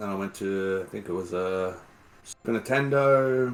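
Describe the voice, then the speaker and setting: With an Australian accent, a man speaks at a moderate pace in a fairly low pitch with ordinary variation. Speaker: game streamer. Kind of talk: podcast interview.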